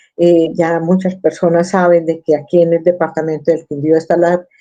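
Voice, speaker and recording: Her voice has a dark, mellow tone. The woman's pitch is fairly low. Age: 60s. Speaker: activist searching for a disappeared relative. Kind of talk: interview testimony. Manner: halting, with repetitions.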